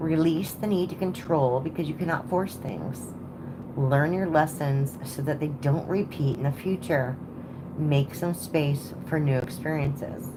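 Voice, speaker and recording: The voice moves at a fairly slow pace with ordinary pitch variation, heard through noticeable background noise and audible room echo. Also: woman, very deep, low pitch for a woman. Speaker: tarot reader. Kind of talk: live stream reading. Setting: home at night. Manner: casual.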